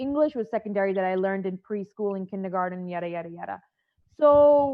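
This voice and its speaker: With an American accent, this woman speaks at a moderate pace. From Boston, US. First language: Punjabi. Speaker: actress. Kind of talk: panel discussion.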